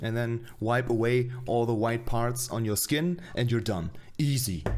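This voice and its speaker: A man with a non-native accent at a medium pitch, speaking at a fairly slow pace with very even loudness. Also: ordinary pitch variation. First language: not English. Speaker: streamer reacting to own web series. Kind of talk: casual stream commentary. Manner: halting.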